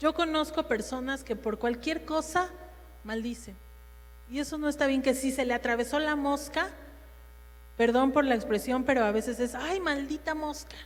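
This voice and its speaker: A loud, high-pitched woman's voice at a moderate pace, with ordinary pitch variation and long, frequent pauses. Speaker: women's ministry speaker. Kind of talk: sermon.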